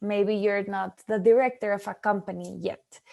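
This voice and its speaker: Here a woman speaks at a moderate pace. Her tone is dark and mellow, her pitch fairly high. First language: not English. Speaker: startup prize representative. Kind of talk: webinar presentation. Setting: online webinar.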